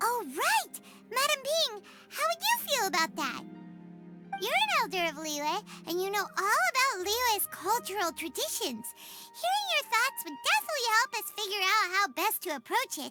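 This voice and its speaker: At a moderate pace, a put-on character voice speaks at an extremely high pitch. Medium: video game. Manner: chirpy, enthusiastic.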